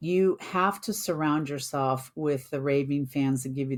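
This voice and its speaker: Over a silent background in a very clean recording, a woman speaks fairly slowly in a very deep, low voice. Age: 60s. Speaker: construction executive and author. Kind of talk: interview.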